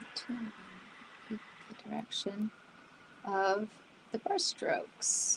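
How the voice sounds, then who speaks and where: Noticeable background noise surrounds a woman who speaks at a very slow pace with long, frequent pauses. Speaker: artist streaming a painting session. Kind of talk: live painting demo chat. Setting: livestream. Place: home room. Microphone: studio mic.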